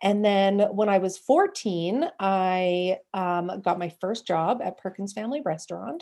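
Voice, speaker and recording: A woman with an ordinary speaking voice and a Canadian accent speaks at a medium pitch with ordinary pitch variation on a very clean recording with a silent background. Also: fairly slow pace. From Western Canada. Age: 30s. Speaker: podcaster. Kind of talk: casual chat.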